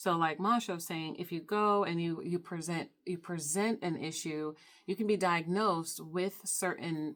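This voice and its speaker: A woman with a normal speaking voice, fairly low in pitch, talks at a moderate pace with fairly even intonation on a very clean recording with a silent background. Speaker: counselor. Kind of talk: conversational discussion.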